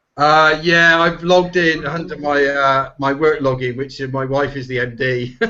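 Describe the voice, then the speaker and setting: A man speaks with a slight Bristol accent. He hardly pauses at all. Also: fairly high pitch for a man, fairly even intonation, moderate pace. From England, Bristol. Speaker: SEO professional, panel guest. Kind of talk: casual chat.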